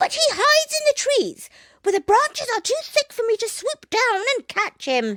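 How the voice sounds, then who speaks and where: A squeaky put-on character voice with extremely high pitch. The pace is moderate. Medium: read story.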